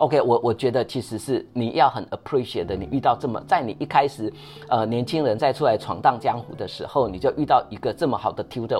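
Using a normal speaking voice, a man talks at a fairly quick pace with a medium pitch. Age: 50s. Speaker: company CEO. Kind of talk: casual chat.

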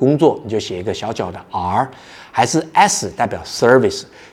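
Here is a man with a normal speaking voice, talking at a moderate pace with lively intonation. The recording is very clean, with a silent background. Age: 40s. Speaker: podcast host, startup founder. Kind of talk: solo podcast talk on workplace skills.

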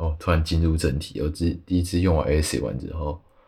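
A man talks at a moderate pace in a very deep, low voice. There is a somewhat breathy quality to it. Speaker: artist, podcast guest. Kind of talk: casual interview chat.

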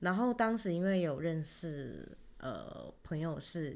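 A woman in a normal speaking voice, fairly low in pitch with lively intonation, in a very clean recording over a silent background. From Taiwan. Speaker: podcast co-host. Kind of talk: casual chat.

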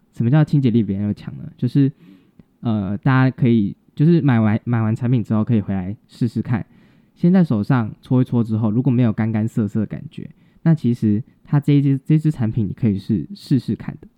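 An unremarkable speaking voice from a man, medium in pitch, fairly quick, with lively intonation. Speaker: podcast co-host, cosmetics student. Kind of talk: casual educational chat.

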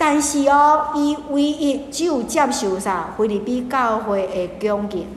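A woman with a Taiwanese accent speaks in an animated tone with lively intonation. Audible room echo and noticeable background noise are present. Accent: Taiwanese Hokkien and Taiwan Mandarin. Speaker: pastor. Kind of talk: Bible study teaching. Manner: animated, mixing Hokkien and Mandarin.

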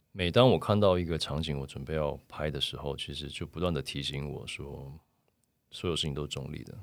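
Speaking at a very fast pace, a man uses a very deep, low pitch with vocal fry. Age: 40s. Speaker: photographer. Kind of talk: casual interview.

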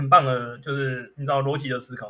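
An unremarkable speaking voice from a man, medium pitch, fairly quick pace. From Taiwan, Miaoli. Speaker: lawyer. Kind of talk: casual interview chat.

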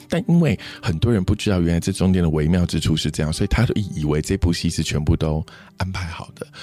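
Against noticeable background noise, a man with a very deep, low pitch talks at a fairly quick pace with ordinary pitch variation. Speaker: PR crisis consultant. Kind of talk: interview chat. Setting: studio.

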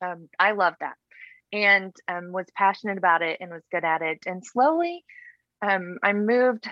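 With a Texan accent, this voice moves at a moderate pace with lively intonation. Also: woman. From Texas Panhandle. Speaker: women's pastor. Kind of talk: interview about personal faith story.

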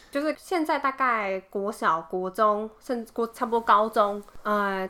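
A woman's medium-pitched voice at a fairly slow pace, ordinary pitch variation, noticeable background noise. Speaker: podcast co-host. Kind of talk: casual chat.

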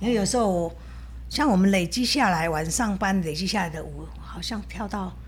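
A woman speaks at a moderate pace. There is audible room echo. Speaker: dance teacher and food shop owner. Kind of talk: casual interview.

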